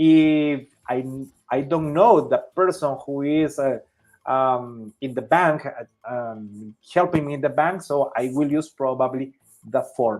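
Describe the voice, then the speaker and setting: In a Spanish accent, the speaker talks at a fairly slow pace. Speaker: Spanish teacher. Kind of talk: lesson.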